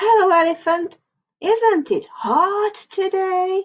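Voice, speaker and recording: A squeaky put-on character voice at a very slow pace. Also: woman, extremely high pitch for a woman. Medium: read story. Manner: sly, wheedling.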